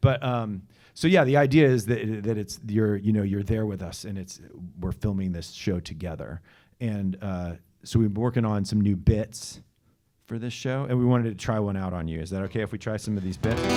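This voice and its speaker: A dark, mellow tone with ordinary pitch variation at a fairly quick pace, in a very clean recording with a silent background. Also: man, fairly low pitch for a man. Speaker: band frontman. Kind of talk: casual chat. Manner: halting.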